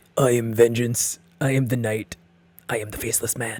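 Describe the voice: A man puts on a growling, gravelly character voice at a medium pitch, speaking at a moderate pace with a flat, monotone delivery.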